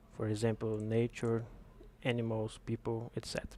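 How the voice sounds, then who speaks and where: A man talks with a non-native accent at medium pitch. His pace is fairly slow. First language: not English. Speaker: game developer. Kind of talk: tutorial. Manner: halting.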